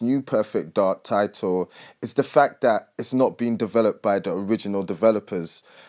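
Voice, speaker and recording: A man with a British accent talks at a moderate pace and medium pitch with lively intonation, on a very clean recording with a silent background and a dry, close sound with no echo. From Britain. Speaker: gaming YouTuber. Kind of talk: casual video commentary. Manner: energetic, hype.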